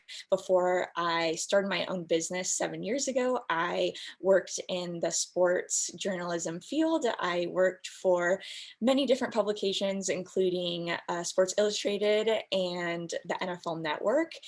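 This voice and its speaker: Speaking at a fairly slow pace, a woman uses a plain, everyday voice at a medium pitch with ordinary pitch variation. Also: quiet background. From US West Coast, San Diego. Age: 20s. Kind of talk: panel discussion. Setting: video call.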